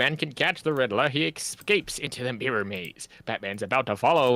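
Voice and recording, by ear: A natural voice reads the text aloud.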